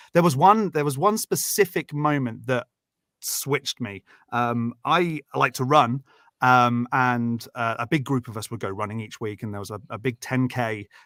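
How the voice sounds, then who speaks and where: In a British accent, a man speaks at a medium pitch with a bright, sharp tone, fairly slowly and with big swings in loudness. The recording is very clean with a silent background, the sound dry and close with no echo. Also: ordinary pitch variation. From Britain. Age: 30s. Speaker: guest and stand-in co-host on call-in show. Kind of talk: casual chat. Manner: halting, many fillers.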